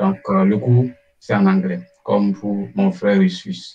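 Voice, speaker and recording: The male speaker's tempo is fairly slow. He keeps his intonation flat and monotone. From Togo. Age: 20s. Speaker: scholarship student. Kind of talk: interview. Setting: online live stream.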